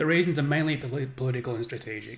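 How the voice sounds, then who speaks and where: At a very fast pace, a man of medium pitch speaks with ordinary pitch variation and vocal fry. Audible room echo surrounds the voice. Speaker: game developer streaming gameplay. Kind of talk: reading aloud a game briefing on a live stream. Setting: live stream with chat.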